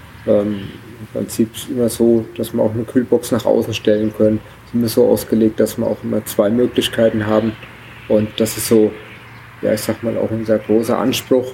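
Over noticeable background noise, a man talks at a moderate pace in a monotone, flat intonation. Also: medium pitch for a man. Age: 40s. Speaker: traveler starting a family world trip. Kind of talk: casual interview. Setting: event at a museum summer festival. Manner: hesitant, many filler sounds.

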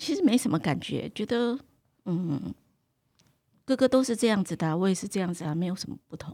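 A woman with a medium pitch and a dark, mellow tone speaks at a fairly quick pace with vocal fry, lively intonation, big swings in loudness and long, frequent pauses. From Taiwan. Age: 60s. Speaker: cooking teacher. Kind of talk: interview.

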